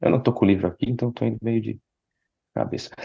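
A man speaks in a fairly low pitch. His tone is dark and mellow. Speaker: psychologist podcast co-host. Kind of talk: casual chat.

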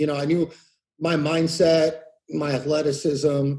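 A man's somewhat breathy, fairly high voice with an American accent. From California Central Valley. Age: 30s. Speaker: war veteran. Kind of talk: interview. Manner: halting.

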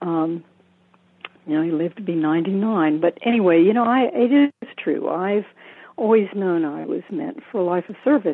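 An unremarkable speaking voice from a woman, medium in pitch, moderate in pace, with lively intonation. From US South. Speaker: Zen teacher and hospice chaplain. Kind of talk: interview. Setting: phone call.

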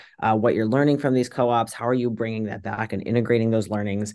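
With an American accent and a medium pitch, a man speaks with ordinary pitch variation against a quiet background. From US South, suburban Virginia. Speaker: tech marketing lead and bakery owner. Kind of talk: interview.

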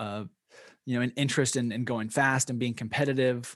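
Someone with an American accent talks at a moderate pace against a quiet background. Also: man. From US West Coast, Bend, Oregon. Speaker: former pro cyclist, gravel racer. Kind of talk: interview. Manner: halting, many fillers.

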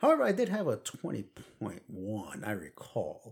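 A man with a Brooklyn accent speaks at a moderate pace. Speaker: podcast co-host. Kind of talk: casual chat.

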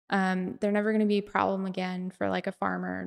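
A woman with a Utah accent speaks at a moderate pace in a medium-pitched voice, recorded very cleanly against a silent background. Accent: American, Utah. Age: 30s. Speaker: conceptual artist. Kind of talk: casual chat.

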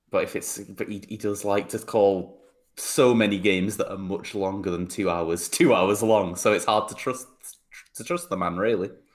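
A man speaks at a moderate pace with a fairly low pitch. His pitch variation is ordinary. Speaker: podcast co-host. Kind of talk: casual chat. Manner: energetic.

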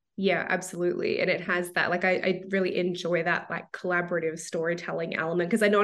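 A woman with an Australian accent, fairly low in pitch, monotone and flat, over noticeable background noise. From Melbourne, Australia. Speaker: author. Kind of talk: casual interview. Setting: video call.

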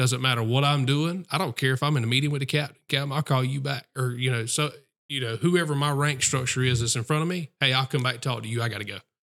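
In a Southern US accent, a man talks at a very fast pace with hardly any pauses, his medium-pitched voice keeping a fairly even intonation on a very clean recording with a silent background. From South Carolina. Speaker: police officer. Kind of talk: casual chat. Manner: halting.

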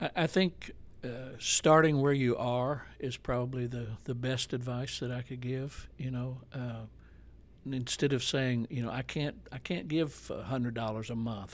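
Spoken at a moderate pace with an American accent, this is an ordinary speaking voice. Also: man. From Arkansas, US South (Jonesboro). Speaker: pastor. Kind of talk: casual chat.

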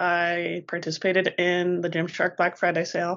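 A woman speaks in a Colorado accent with a fairly low pitch. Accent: American, Colorado. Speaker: podcast co-host. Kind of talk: casual chat.

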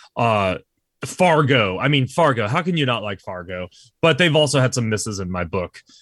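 Against a quiet background, a man with an unremarkable speaking voice talks at a medium pitch with lively intonation. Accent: American. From Texas, San Antonio. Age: 30s. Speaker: podcast guest, movie fan. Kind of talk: casual chat.

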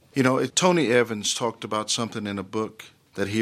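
On a very clean recording with a silent background, a man speaks with an American accent at a moderate pace. His is an ordinary speaking voice, fairly low in pitch, with fairly even intonation. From Dallas, Texas (Oak Cliff). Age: 50s. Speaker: pastor. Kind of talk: interview.

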